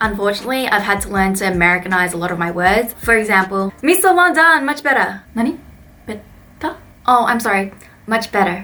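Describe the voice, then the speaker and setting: Speaking with an Australian accent, a woman keeps a medium pitch. Her pace is fairly quick and her intonation lively. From Australia (Melbourne). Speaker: vlogger and English teacher. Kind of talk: vlog monologue. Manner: casual, animated.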